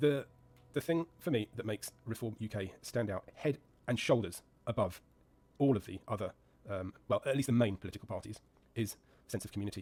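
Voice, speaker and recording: With an English accent, a man at medium pitch speaks at a fairly quick pace, somewhat breathy, with ordinary pitch variation and long, frequent pauses. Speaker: gaming YouTuber and commentator. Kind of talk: casual monologue while gaming. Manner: hesitant, many fillers.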